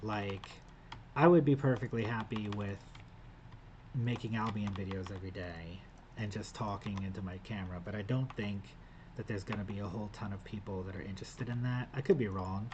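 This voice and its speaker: Somewhat breathy and fairly low in pitch, a man speaks at a fairly quick pace. His pitch variation is ordinary. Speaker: gaming youtuber / vlogger. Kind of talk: casual vlog talking to camera. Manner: hesitant, stuttering with filler words.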